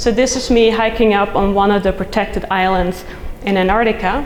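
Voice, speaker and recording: Someone with a Dutch accent talks amid noticeable background noise and audible room echo. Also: woman. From Netherlands. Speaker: soil scientist, professor. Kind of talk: conference talk.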